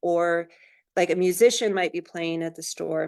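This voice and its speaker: A woman speaks at medium pitch and a moderate pace, in a normal speaking voice. The background is quiet. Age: 60s. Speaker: Native business owner, store owner. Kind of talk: panel discussion answer. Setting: webinar.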